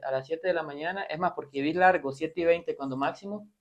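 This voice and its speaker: Keeping a fairly even intonation, a man talks at a very fast pace. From Costa Rica and Nicaragua (Managua). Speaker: doctor. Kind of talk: interview.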